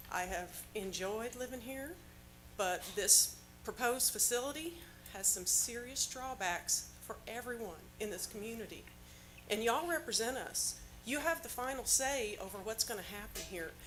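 A woman with an American accent talks at a moderate pace, her pitch fairly high and her intonation lively, while music plays in the background. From Indiana. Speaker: public commenter at county meeting. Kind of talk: public comment.

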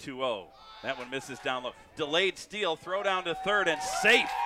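Over crowd noise in the background, a man speaks at a fairly quick pace with lively intonation, the sound dry with no echo. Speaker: baseball play-by-play announcer. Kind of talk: live play-by-play commentary. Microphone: headset.

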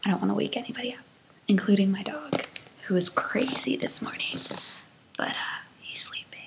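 With noticeable background noise, a woman speaks at a moderate pace. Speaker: vlogger. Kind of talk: casual vlog chat. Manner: soft voice, not waking dog. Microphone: webcam.

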